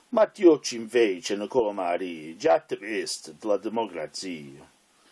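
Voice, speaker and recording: A man's fairly low voice, dark and mellow in tone, with very wide pitch swings, a fairly slow pace and a dry, close sound with no echo. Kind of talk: poetry reading.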